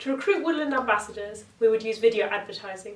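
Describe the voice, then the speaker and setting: Noticeable background noise sits behind a woman with a southern English accent. She talks at a fairly quick pace with ordinary pitch variation. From England, Oxford. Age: 20s. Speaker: competition entrant. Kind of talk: pitch presentation. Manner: scripted.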